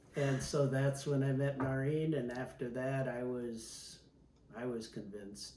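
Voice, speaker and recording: A man speaks at a fairly slow pace with a medium pitch, and audible room echo surrounds his voice. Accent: Upper Midwest. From Milwaukee, Wisconsin, US Midwest. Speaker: retired pilot. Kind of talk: oral history interview. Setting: at home.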